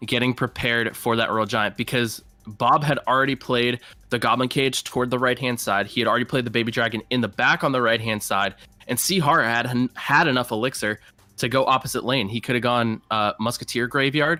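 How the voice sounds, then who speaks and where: Over music in the background, a man with an American accent speaks at a fairly quick pace in a medium pitch, with fairly even intonation and very even loudness. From Massachusetts. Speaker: esports caster and team manager. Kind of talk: live commentary.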